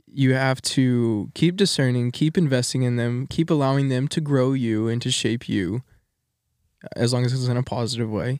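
Pitch moves in an ordinary way. The speed is moderate. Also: man, medium pitch for a man. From Texas. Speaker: college student podcast co-host. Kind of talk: casual chat. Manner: energetic.

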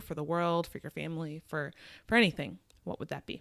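A woman with an American accent speaks at a moderate pace in a fairly low pitch, an unremarkable speaking voice. The recording is very clean with a silent background. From US Midwest. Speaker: podcast host. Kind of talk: casual interview.

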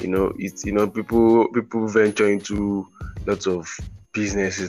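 With music in the background, a man of fairly low pitch talks at a moderate pace in a monotone, flat intonation. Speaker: podcast host. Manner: casual, rambling.

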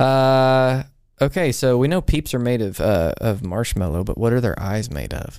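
A normal speaking voice with lively intonation comes through in a very clean recording with a silent background. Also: man, medium pitch for a man, moderate pace. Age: 30s. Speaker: pastor. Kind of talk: casual chat.

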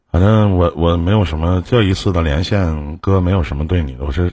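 A man's very deep, low voice carries ordinary pitch variation as he talks at a fairly quick pace. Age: 40s. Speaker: livestream advice host. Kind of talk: livestream call-in advice. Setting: livestream voice link.

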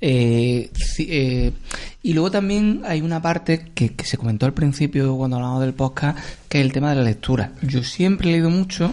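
A man talks at a moderate pace with a fairly high pitch, a dark, mellow tone and ordinary pitch variation. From Córdoba, Andalusia. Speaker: podcast co-host. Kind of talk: casual chat.

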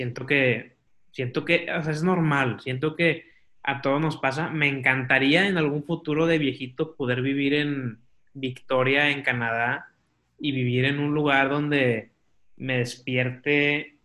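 A man with an unremarkable speaking voice and a fairly high pitch talks at a fairly slow pace with fairly even intonation. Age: 20s. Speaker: podcaster and marketing student. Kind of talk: casual chat.

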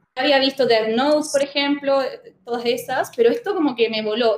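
A woman's high-pitched voice with ordinary pitch variation, at a fairly quick pace. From Chile. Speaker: manga youtuber and instagramer. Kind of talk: casual chat.

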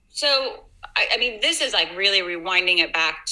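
Speaking at a moderate pace with an American accent, a woman is heard through noticeable background noise. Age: 40s. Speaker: fitness instructor. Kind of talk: casual chat.

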